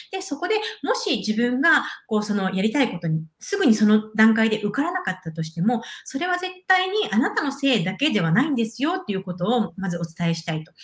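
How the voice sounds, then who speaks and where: The voice is somewhat breathy, with very wide pitch swings. It moves at a fairly quick pace. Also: woman, fairly high pitch for a woman. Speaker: intercultural exchange project director. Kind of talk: interview conversation. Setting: live video stream.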